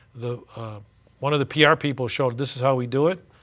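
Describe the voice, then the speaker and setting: With a normal speaking voice and an American accent, a man talks at a fairly quick pace in a medium pitch. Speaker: stadium public address announcer, attorney. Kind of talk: interview answer.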